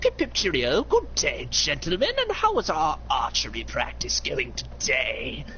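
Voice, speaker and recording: A put-on character voice runs at a moderate pace with hardly any pauses over clear background noise. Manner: plummy, exaggerated, genteel.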